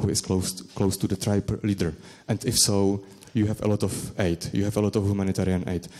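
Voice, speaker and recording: In a Czech accent, a man with a dark, mellow tone and fairly low pitch speaks at a fairly quick pace. His intonation is fairly even, and the recording is very clean with a silent background. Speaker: academic researcher. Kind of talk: conference presentation and Q&A. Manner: halting, many hesitations.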